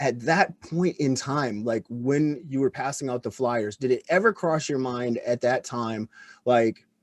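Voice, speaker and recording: An ordinary speaking voice from a man, medium in pitch, with ordinary pitch variation and a fairly slow pace. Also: dry, close sound with no echo. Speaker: podcast host, former extremist. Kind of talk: interview conversation.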